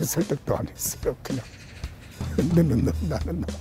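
Faint music plays in the background as a man speaks with very wide pitch swings. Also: dry sound with no echo. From South Korea. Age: 80s+. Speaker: elderly university freshman. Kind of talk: interview answer. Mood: calm, reflective.

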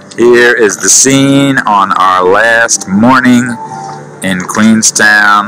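Clear music plays behind a man who speaks very slowly with fairly even intonation, the sound dry with no echo. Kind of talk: casual vlog chat. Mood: cheerful, a bit wistful. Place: waterside. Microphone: phone near.

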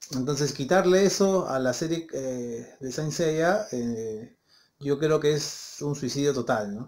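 A man talks at a very slow pace. His fairly high voice shows ordinary pitch variation. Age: 30s. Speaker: YouTuber, anime commentator. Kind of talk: casual video monologue. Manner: halting, many fillers and repetitions. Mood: calm, opinionated. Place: home room. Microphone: phone near.

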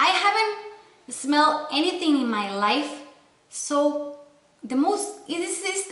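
In a room with audible echo, a woman speaks very slowly at a high pitch with very wide pitch swings. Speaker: beauty and lifestyle vlogger. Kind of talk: product haul video with giveaway. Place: home room. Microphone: camera far.

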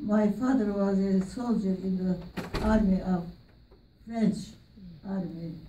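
With an Armenian accent, a woman speaks at a very slow pace amid light background noise and audible room echo. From Armenian from Aintab, Turkey. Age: 80s+. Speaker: genocide survivor. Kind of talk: interview answer. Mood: sombre, emotional recollection.

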